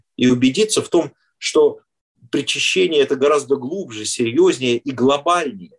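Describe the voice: Fairly quick and marked by vocal fry, a man's voice carries a slightly husky edge and ordinary pitch variation.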